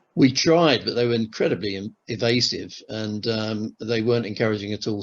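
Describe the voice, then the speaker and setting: With a southern English accent, a man speaks at a fairly quick pace. His pitch is fairly low. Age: 60s. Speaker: retired airline manager, timeshare customer. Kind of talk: interview testimony. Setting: on camera interview. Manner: hesitant, many fillers and restarts.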